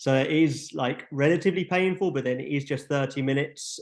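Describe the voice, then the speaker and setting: Here is a man with a plain, everyday voice at a medium pitch. He talks at a fairly quick pace with fairly even intonation. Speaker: app developer presenting features. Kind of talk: webinar tutorial. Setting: online webinar. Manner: casual, filler-heavy.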